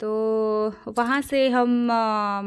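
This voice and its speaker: A woman speaks at a fairly high pitch in a monotone, flat intonation. The recording is very clean, with a silent background. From Odisha, India. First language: Odia (speaking Hindi). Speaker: travel vlogger. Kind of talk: casual vlog narration. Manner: halting, many fillers.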